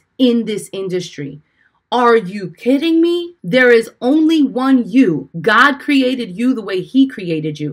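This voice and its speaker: A woman with a New York accent speaks in an animated tone with lively intonation at a moderate pace. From Brooklyn, New York; Puerto Rican family. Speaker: life and business coach, podcast host. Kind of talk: motivational podcast talk. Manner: loud.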